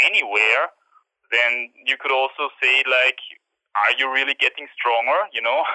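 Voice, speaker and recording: The speaker is a man with a German accent. He talks at a fairly slow pace. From Austria. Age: 20s. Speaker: climber and YouTuber. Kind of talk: interview. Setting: phone call.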